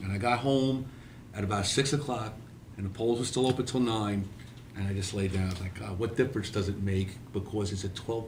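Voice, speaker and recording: Amid noticeable background noise and audible room echo, a man with a New York accent talks at a moderate pace with ordinary pitch variation. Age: 60s. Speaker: podcast host, retired police officer. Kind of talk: casual chat.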